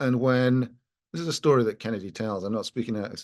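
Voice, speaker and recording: In a Scottish accent, a man speaks at medium pitch and a moderate pace with ordinary pitch variation against a quiet background. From Scotland. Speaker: lawyer. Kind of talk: panel discussion. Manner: halting.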